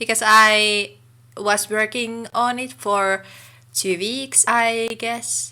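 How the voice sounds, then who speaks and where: Speaking with a Finnish accent at a very slow pace, a woman has a fairly high pitch. Her tone is bright and sharp, her intonation fairly even. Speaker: gaming YouTuber. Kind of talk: casual voiceover commentary.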